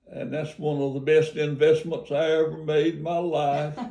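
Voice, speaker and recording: A man at a fairly high pitch talks in a dark, mellow tone with monotone, flat intonation. Audible room echo surrounds his voice. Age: 90s. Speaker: retired pastor. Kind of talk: casual chat. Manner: halting.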